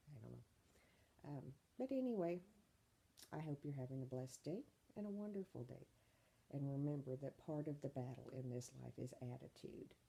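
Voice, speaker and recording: A woman's very deep, low voice sounds somewhat breathy, dark and mellow, with ordinary pitch variation and long, frequent pauses. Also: moderate pace. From Kentucky. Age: 40s. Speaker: vlogger. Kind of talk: casual vlog monologue. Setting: at home, bedroom then bathroom. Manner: casual, many filler ums.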